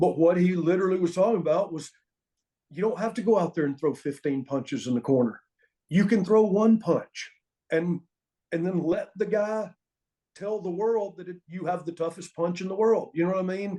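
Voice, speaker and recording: A man in an American accent speaks at a moderate pace in a high pitch with ordinary pitch variation. His tone is dark and mellow. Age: 60s. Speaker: former pro wrestling referee and wrestling trainer. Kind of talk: interview storytelling.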